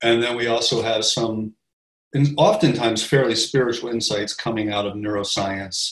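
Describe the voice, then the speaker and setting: At a moderate pace, a man speaks in a plain, everyday voice, medium in pitch with fairly even intonation. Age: 50s. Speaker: podcast host. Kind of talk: casual chat.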